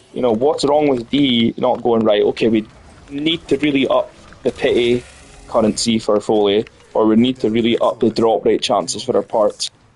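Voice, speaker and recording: Speaking with a Scottish accent, a man keeps a moderate pace, very even loudness and fairly even intonation against noticeable background noise. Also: medium pitch for a man. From Scotland. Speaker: gaming streamer. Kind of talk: casual gameplay commentary.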